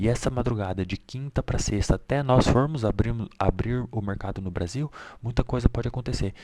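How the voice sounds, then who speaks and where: Soft-spoken and dark, mellow in tone, a man talks at a fairly quick pace with medium pitch and ordinary pitch variation, on a very clean recording with a silent background. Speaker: day trading market analyst. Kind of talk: market analysis tutorial. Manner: casual.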